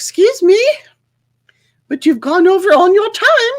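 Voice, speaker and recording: A woman speaks at a fairly slow pace in a put-on, squeaky character voice, her extremely high pitch swinging very widely. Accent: British. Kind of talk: posh. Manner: curt, correcting.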